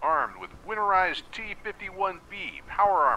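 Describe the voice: Putting on a character voice, a man speaks at a moderate pace with a high pitch, vocal fry, a bright, sharp tone and lively intonation.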